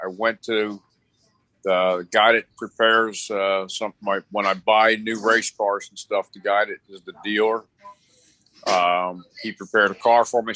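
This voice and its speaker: A man with a fairly low pitch and a bright, sharp tone speaks in a flat monotone at a moderate pace. The sound is dry and close with no echo, and his loudness swings widely. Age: 60s. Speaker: race car driver. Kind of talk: casual chat. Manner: halting.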